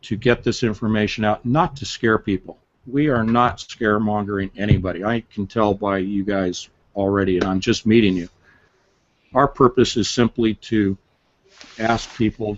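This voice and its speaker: At a moderate pace, a man with a plain, everyday voice talks at a fairly low pitch with fairly even intonation. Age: 60s. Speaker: author. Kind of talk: interview. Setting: live stream.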